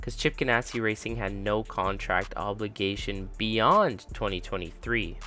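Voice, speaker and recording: Background music is playing. The words come at a moderate speed. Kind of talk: motorsport news commentary.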